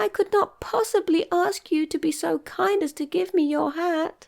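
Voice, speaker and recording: A female-sounding voice in a put-on character voice, extremely high in pitch, at a moderate pace. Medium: read story. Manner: small, sad.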